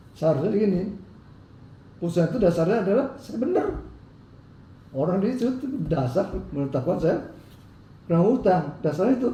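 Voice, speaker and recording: Pausing long and often, a man with a high pitch talks at a fairly quick pace, his pitch swinging very widely, with audible room echo. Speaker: businessman in legal dispute. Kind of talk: interview.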